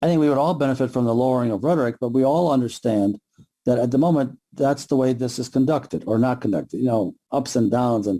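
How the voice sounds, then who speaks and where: A man with an American accent at a medium pitch, very fast delivery, dark and mellow tone, ordinary pitch variation, and very even loudness. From US Midwest, Michigan. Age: 60s. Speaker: law professor. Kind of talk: interview. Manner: halting.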